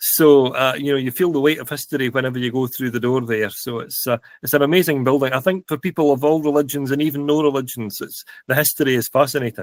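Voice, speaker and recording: A man with a Scottish accent at a very fast pace, fairly high in pitch with fairly even intonation, in a dry, close sound with no echo. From Scotland, Stirling. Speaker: podcast co-host. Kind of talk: casual chat.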